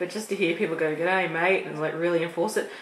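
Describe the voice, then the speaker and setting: Amid noticeable background noise and audible room echo, a woman talks at a very fast pace. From Australia. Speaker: vlogger. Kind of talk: casual chat. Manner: halting.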